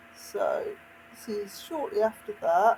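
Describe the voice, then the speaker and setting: Noticeable background noise runs under the voice. The speaker has a West Midlands accent. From West Midlands, England. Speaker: video game streamer. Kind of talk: casual gameplay commentary. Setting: live stream.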